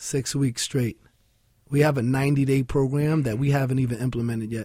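A man with a New York accent speaks in a dark, mellow tone that is somewhat breathy. His pace is moderate and his intonation fairly even. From New York City (Williamsburg, Brooklyn). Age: 40s. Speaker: nonprofit founder and fitness entrepreneur. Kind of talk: radio interview.

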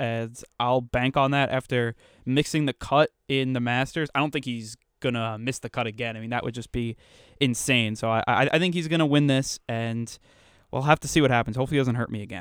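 A man's unremarkable speaking voice with an American accent, at a medium pitch and fairly quick pace, with fairly even intonation, on a very clean recording with a silent background and a dry, close sound with no echo. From Long Island, New York. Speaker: student golf podcast panelist. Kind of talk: casual chat.

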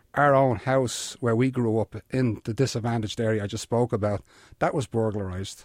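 A man's fairly quick, medium-pitched speech with a Dublin accent and fairly even intonation, dry and close with no echo, on a very clean recording with a silent background. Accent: Irish (Dublin). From Ireland. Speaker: retired police detective and author. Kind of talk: interview.

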